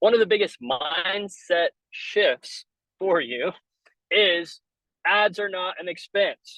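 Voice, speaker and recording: A man with a high voice speaks very slowly in a raised, projected way, his tone bright and sharp, pitch varying in an ordinary way, with long, frequent pauses and a dry, close sound with no echo. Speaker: business coach. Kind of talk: webinar training. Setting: in a car. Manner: loud; casual.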